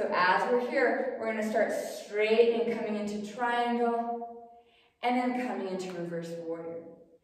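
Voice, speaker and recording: Strong room echo surrounds a woman speaking at a fairly high pitch. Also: ordinary pitch variation, moderate pace. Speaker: yoga instructor. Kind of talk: guided yoga class, calm cueing of poses and breath. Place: home room. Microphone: camera far.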